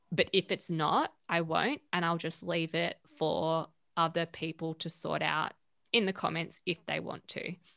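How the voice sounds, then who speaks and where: With an Australian accent, a woman speaks at a fairly slow pace in a fairly low, bright, sharp voice with monotone, flat intonation, the sound dry and close with no echo on a very clean recording with a silent background. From Western Australia, Perth. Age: 30s. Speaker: media founder and editor. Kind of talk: casual interview.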